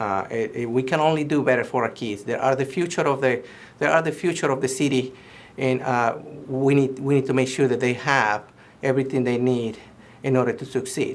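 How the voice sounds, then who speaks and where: This man has a slight Mexican accent and a medium pitch. He talks at a fairly quick pace with fairly even intonation. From Mexico. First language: Spanish. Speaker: political candidate. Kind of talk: campaign statement. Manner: halting, many fillers and restarts.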